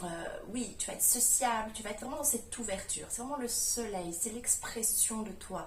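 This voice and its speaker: There is noticeable background noise and audible room echo. A woman speaks with ordinary pitch variation. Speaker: spiritual coach, manifestation youtuber. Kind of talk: vlog-style coaching talk.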